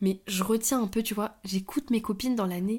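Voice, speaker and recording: A woman's fairly high, somewhat breathy voice at a moderate pace, with ordinary pitch variation. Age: 20s. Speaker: podcast co-host. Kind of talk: casual chat.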